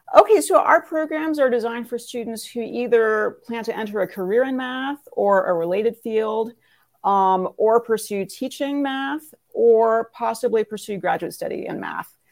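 In a very clean recording with a silent background, a woman with an American accent speaks at a fairly high pitch and a moderate pace, her intonation lively. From Northern California. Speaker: math professor and department chair. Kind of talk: interview.

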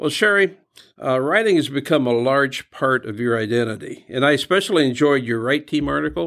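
A man's normal speaking voice at a medium pitch, with lively intonation and a fairly quick pace, on a very clean recording with a silent background. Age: 60s. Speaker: podcast host, ministry director. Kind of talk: interview.

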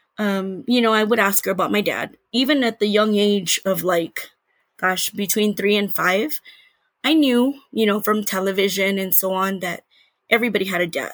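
A woman with an American accent talks at a moderate pace and medium pitch, with ordinary pitch variation and an unremarkable speaking voice. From Texas. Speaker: podcast guest sharing DNA discovery story. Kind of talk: personal testimony interview.

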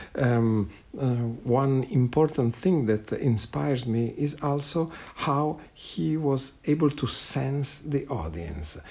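Very slow speech in an Italian accent, somewhat breathy, with a dark, mellow tone and lively intonation. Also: man, medium pitch for a man. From Italy. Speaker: guitarist. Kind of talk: recorded personal reminiscence. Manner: halting, hesitant.

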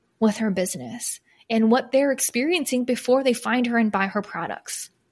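A woman with an American accent speaks at a moderate pace in a fairly high, somewhat breathy voice with ordinary pitch variation, on a very clean recording with a silent background. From Michigan, US Midwest. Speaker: podcast host, small business coach. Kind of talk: solo podcast monologue.

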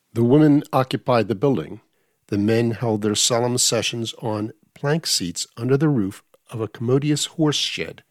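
Recorded with a dry, close sound and no echo, a man speaks in a plain, everyday voice at medium pitch with ordinary pitch variation. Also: moderate pace. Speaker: audiobook reader. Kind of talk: audiobook reading of a history book. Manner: formal; measured.

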